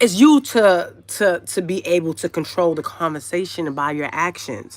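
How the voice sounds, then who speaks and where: A woman speaks in a New York accent at a medium pitch. Her tone is animated, though her pace is fairly slow. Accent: New York City. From Brooklyn, New York. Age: 40s. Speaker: YouTube livestreamer. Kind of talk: casual live stream chat. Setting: livestream.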